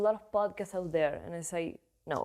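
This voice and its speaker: Dark, mellow tone at a fairly quick pace, with fairly even intonation. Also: woman. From Argentina. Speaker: voiceover actress and podcaster. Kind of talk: casual chat.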